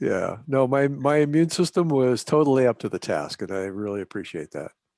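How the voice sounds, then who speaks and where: A man with an unremarkable speaking voice talks at a fairly quick pace with lively intonation and medium pitch, in a very clean recording with a silent background and a dry, close sound with no echo. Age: 60s. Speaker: software developer. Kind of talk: casual chat.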